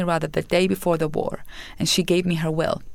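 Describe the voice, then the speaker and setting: In an Arabic accent, a woman with a fairly low pitch speaks at a very fast pace. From Iraq. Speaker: nonprofit founder. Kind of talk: interview.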